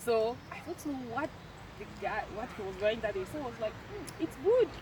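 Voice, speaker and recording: Lively intonation comes through at a moderate pace over noticeable background noise. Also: woman, fairly high pitch for a woman. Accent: French. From French-speaking Cameroon. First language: French. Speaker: university student. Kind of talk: casual chat. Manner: halting.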